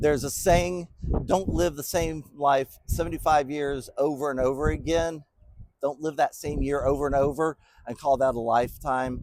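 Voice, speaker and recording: A man talks at a moderate pace in a fairly high voice with ordinary pitch variation. It is a plain, everyday voice. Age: 60s. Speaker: business podcast host. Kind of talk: motivational podcast monologue. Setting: bowling center.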